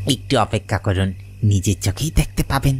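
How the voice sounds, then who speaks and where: A man does a cartoonish character voice at a fairly low pitch, with clear background noise behind him. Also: moderate pace. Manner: sly, falsely polite.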